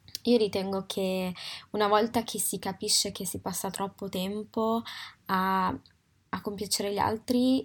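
A woman with a medium pitch speaks fairly slowly. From Italy. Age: 20s. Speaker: podcast host. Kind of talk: personal reflective monologue. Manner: halting, with frequent fillers.

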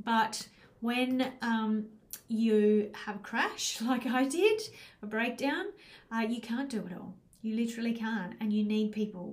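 Somewhat breathy and fairly high in pitch, a woman speaks with fairly even intonation in audible room echo. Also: fairly slow pace. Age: 50s. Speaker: life coach and podcast host. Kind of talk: solo podcast monologue. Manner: casual with frequent fillers.

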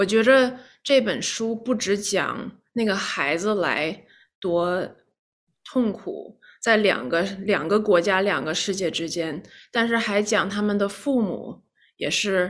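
The speech moves at a very slow pace with ordinary pitch variation, on a very clean recording with a silent background. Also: woman. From China, Shijiazhuang (left at 7), raised in New York. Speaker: lawyer and memoir author. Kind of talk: interview. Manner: halting.

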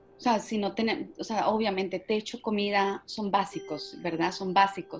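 There is noticeable background noise as a woman talks. She speaks at a fairly slow pace with ordinary pitch variation. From Colombia. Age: 40s. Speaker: marketing executive. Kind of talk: interview. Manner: halting, repeats words.

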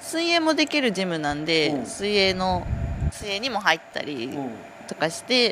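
A woman speaks at a medium pitch and a fairly slow pace, her pitch swinging very widely. Noticeable background noise runs behind her. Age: 20s. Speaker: dairy herd testing technician. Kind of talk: casual chat. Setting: outdoors near a cowshed.

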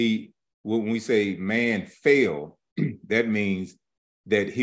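Here is a man with an unremarkable speaking voice, fairly low in pitch. The background is quiet. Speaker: Bible teacher. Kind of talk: sermon. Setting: live stream.

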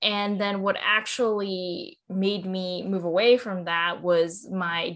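A woman's medium-pitched voice with a Californian accent and fairly even intonation. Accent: General American (Californian). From Southern California (Cerritos). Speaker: food startup co-founder. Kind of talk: interview.

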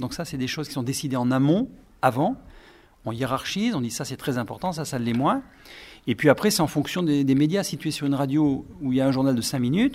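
A fairly quick, fairly high male voice with ordinary pitch variation, on a very clean recording with a silent background. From France, Brive. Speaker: radio journalist and writer. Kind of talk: interview with school pupils. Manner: halting, repeats words.

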